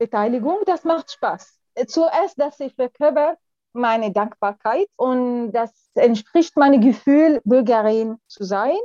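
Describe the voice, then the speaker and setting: A woman's high-pitched, dark, mellow voice with an Arabic accent, very slow and with lively intonation, in a dry, close sound with no echo. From Syria. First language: Arabic (speaking German). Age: 40s. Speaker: lawyer. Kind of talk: interview. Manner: halting.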